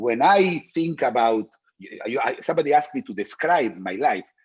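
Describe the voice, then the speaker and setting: At a moderate pace, a man talks with vocal fry and very wide pitch swings. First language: not English. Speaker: philosopher. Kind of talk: interview. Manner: halting, many repetitions and fillers.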